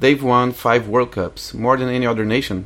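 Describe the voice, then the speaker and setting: A man's voice at a medium pitch, moving at a moderate pace. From Brazil, Rio de Janeiro. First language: Portuguese. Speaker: guest. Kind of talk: scripted narration; casual chat. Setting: studio.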